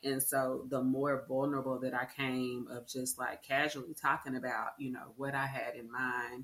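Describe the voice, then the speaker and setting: With an American accent, the speaker keeps to a moderate pace. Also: woman. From Arlington, Texas. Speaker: coffee shop owner. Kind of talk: interview.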